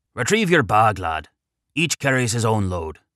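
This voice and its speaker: A growling put-on character voice in an Irish accent makes very wide pitch swings at a moderate pace, in a very clean recording with a silent background. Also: man, medium pitch for a man. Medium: read story. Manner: warm, fatherly.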